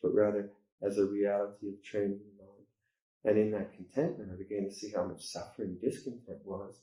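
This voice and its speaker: A man's fairly low-pitched, dark and mellow voice at a fairly quick pace. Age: 60s. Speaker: Buddhist monk teacher. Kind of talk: dharma talk. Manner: halting.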